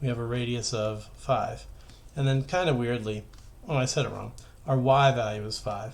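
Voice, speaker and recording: This man's voice sits at a medium pitch and sounds somewhat breathy, with ordinary pitch variation. Audible room echo surrounds it. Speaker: high school math teacher. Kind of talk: tutorial. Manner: fast.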